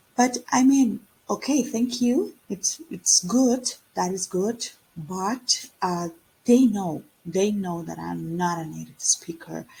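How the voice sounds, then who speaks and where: Somewhat breathy and dark, mellow in tone, a woman's medium-pitched voice moves at a very slow pace with lively intonation and big swings in loudness. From Costa Rica. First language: Spanish. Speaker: English teacher. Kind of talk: online lesson. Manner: casual with many fillers.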